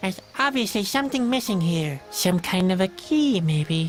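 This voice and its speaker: A put-on character voice sounds female, pitched in the middle. Clear music plays in the background. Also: moderate pace. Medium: machinima.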